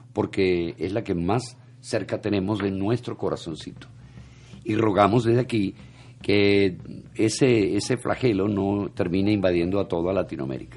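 Fairly low pitch and ordinary pitch variation from a man with a normal speaking voice. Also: moderate pace. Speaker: radio host. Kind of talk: casual chat and news commentary.

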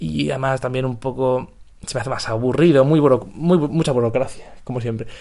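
The speaker moves at a fairly quick pace with ordinary pitch variation and a dark, mellow tone. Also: man, medium pitch for a man. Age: 20s. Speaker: podcaster. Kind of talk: casual monologue. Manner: halting.

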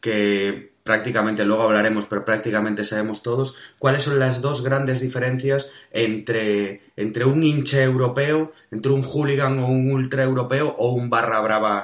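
A man with a plain, everyday voice at medium pitch, moderate pace, fairly even intonation and hardly any pauses. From Spain. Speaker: podcast host. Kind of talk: casual interview.

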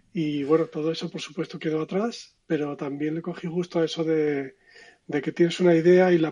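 With a dark, mellow tone and a high pitch, a man talks at a moderate pace in fairly even intonation. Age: 50s. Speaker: design consultant. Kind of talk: interview conversation.

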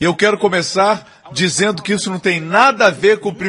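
Ordinary pitch variation in a man's high voice. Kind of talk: sermon. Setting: church with congregation. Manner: emphatic, animated preaching; call-and-response, pausing for amens.

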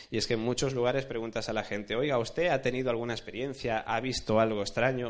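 A man's medium-pitched voice at a very fast pace against a quiet background. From Alicante, Spain. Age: 20s. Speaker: journalist. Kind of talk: lecture.

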